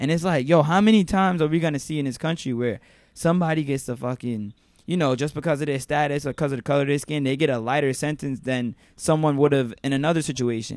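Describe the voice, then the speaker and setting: A man speaks very fast with a New York accent, his pitch fairly high and its variation ordinary. The background is quiet. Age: 20s. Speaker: podcast host. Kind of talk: casual chat. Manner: animated.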